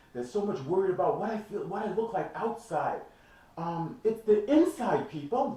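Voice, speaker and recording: Audible room echo surrounds a man who speaks at a moderate pace and a high pitch, his pitch swinging very widely. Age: 60s. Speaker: fitness trainer. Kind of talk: motivational talk to camera. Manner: animated.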